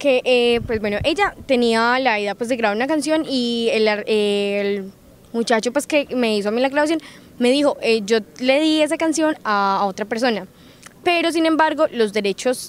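A woman speaks at a moderate pace in a high pitch. Her intonation is lively, and the sound is dry with no echo. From Colombia, Risaralda (Quinchía); Risaralda, Colombia. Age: young. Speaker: singer; interviewee. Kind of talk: interview. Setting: recorded in Pereira. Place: open country. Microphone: handheld.

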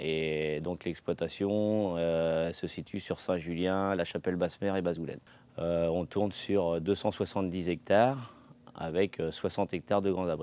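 The dark, mellow tone moves at a very slow pace with fairly even intonation, in a dry sound with no echo. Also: man, very deep, low pitch for a man. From Loire-Atlantique, France. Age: 50s. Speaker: vegetable farmer. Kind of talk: testimonial interview. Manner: hesitant with fillers. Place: farm.

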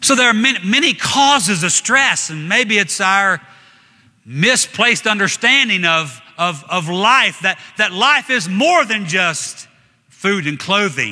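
Someone speaks in a raised, projected voice at a fairly slow pace against a quiet background. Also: man, high pitch for a man. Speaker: evangelist preaching a sermon. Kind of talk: church sermon with congregation interaction. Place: church.

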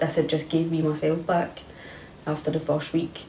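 A woman with a Scottish accent and a very deep, low pitch talks in a monotone, flat intonation, with audible room echo and light background noise. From Scotland. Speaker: kambo participant with fibromyalgia; interviewee. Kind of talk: testimony. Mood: earnest, reflective, emphatic. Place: home room.

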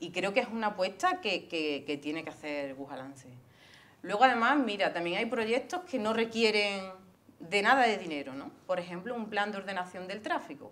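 A woman talks at a moderate pace with very wide pitch swings and big swings in loudness. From Andalusia, Spain (Córdoba province). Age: 40s. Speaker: local political candidate. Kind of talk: interview. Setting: studio. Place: studio. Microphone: lapel.

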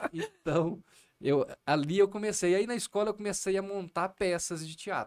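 A man speaks at a moderate pace in a high pitch against a quiet background. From Minas Gerais, Brazil (Triângulo Mineiro); Minas Gerais, Brazil. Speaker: comedian. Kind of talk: podcast interview; interview answer. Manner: animated. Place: studio. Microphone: studio mic.

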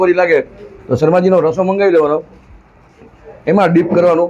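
A high-pitched man with ordinary pitch variation amid noticeable background noise. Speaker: food vlogger. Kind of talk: food review vlog. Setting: street food stall. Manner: animated.

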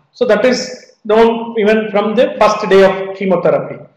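The man's voice sits at a high pitch. There is audible room echo, but the background is quiet. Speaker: medical lecturer. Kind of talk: lecture. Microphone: video call.

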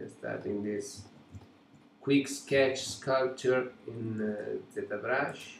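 The speaker is a man. He has an Italian accent. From Italy. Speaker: digital sculptor and art teacher. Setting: live stream from home studio.

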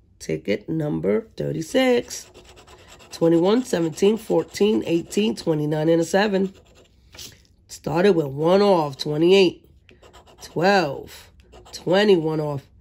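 At a very slow pace, a woman with a fairly low pitch speaks with lively intonation. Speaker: lottery scratch-off streamer. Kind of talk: live scratch-off stream, excited win reaction and number calling. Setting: live video stream to camera. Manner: animated, excitable, exclaiming over the win. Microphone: phone near.

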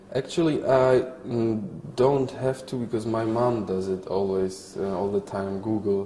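A man talks at a fairly slow pace with a Polish accent and ordinary pitch variation. Audible room echo and light background noise surround him. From Poland. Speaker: actor. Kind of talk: interview answer. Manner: hesitant, thoughtful. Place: hall. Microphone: lapel.

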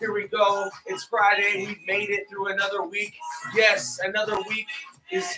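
A man speaks in a raised, projected voice over clear music in the background. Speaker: fitness coach. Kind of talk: workout instruction. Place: home room. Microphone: camera far.

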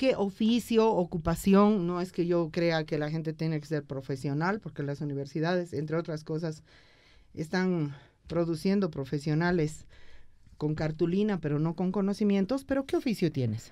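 At a moderate pace, a woman with a fairly low pitch and a dark, mellow tone talks with ordinary pitch variation over a quiet background. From Bolivia. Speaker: radio host. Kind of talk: political interview. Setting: studio. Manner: animated. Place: studio. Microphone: studio mic.

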